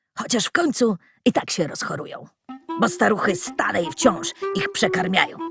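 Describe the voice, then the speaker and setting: Someone performs a put-on character voice with faint music in the background. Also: woman. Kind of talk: rustic colloquial speech. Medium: read story. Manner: folksy, chuckling.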